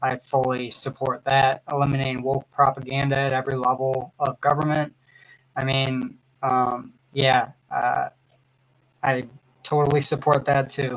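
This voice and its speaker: A man with an American accent speaks at a fairly slow pace. His intonation is monotone and flat. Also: medium pitch for a man. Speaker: livestreamer commenting on politics. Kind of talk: live stream commentary. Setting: live stream. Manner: halting, many fillers.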